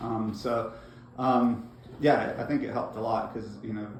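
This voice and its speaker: Male speech with noticeable background noise behind it and room echo clearly audible. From Bosnia, then raised in Northeast Georgia, US. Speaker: refugee interviewee. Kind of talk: interview. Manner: hesitant, many fillers.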